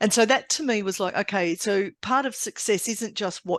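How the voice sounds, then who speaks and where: A woman's voice at a moderate pace with ordinary pitch variation, dry and close with no echo, over a quiet background. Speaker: executive coach and trainer. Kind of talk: interview. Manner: friendly.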